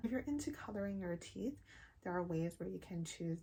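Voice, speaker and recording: A woman's fairly low-pitched voice, dark and mellow in tone, somewhat breathy. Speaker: beauty and lifestyle vlogger. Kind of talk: casual vlog talk.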